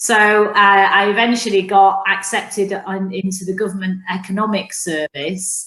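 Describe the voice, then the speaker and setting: A woman with a Mancunian accent and medium pitch speaks at a moderate pace. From northern England, Manchester. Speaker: business executive. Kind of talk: interview.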